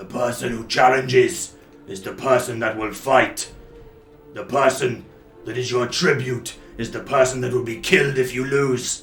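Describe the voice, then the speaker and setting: A man's raspy, put-on character voice at a medium pitch and moderate pace, with slight echo and clear music in the background. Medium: actual play. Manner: blunt, menacing.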